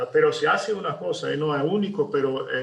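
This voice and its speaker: A man talks with a Brazilian accent. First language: Portuguese (speaking Spanish). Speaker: architect. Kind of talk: webinar presentation. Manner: halting, many fillers and repetitions.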